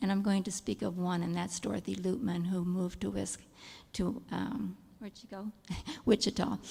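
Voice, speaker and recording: A soft-spoken woman with a medium pitch and a dark, mellow tone talks at a moderate pace, showing vocal fry, ordinary pitch variation and big swings in loudness. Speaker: kindergarten teacher, church care team member. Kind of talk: church meeting report.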